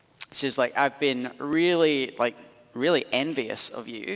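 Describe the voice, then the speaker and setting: There is noticeable background noise behind the speaker. He is a man with a Scottish accent. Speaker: pastor. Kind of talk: sermon. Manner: animated.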